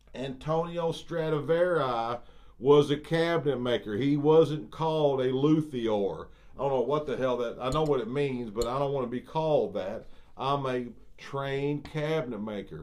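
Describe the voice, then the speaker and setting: Using ordinary pitch variation, a man with a fairly high voice talks at a moderate pace. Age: 60s. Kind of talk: video monologue rant. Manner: animated, halting with repetitions.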